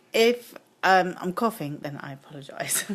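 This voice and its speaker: A woman with a British accent, medium pitch, lively intonation and a fairly slow pace. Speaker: card-making demonstrator. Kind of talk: live craft tutorial. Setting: Facebook Live stream. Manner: hesitant, many 'um' fillers.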